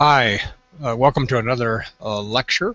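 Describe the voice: A man's put-on character voice, gravelly and medium in pitch, at a moderate pace.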